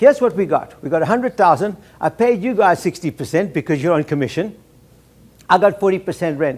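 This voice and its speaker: Animated and fairly quick, a man talks at a high pitch with lively intonation. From South Africa. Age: 70s. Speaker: keynote speaker, salon entrepreneur. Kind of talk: keynote speech. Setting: luncheon with audience.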